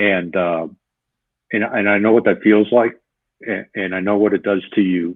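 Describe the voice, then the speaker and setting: A man speaks in a fairly low pitch at a moderate pace. His intonation is monotone and flat. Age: 60s. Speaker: retired police officer and leadership trainer. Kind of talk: interview.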